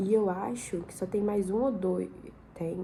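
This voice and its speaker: A woman speaks at a very slow pace, her pitch medium with ordinary variation. Audible room echo surrounds her voice. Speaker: vlogger, law student. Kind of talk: casual vlog chat. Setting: living room at home, at night.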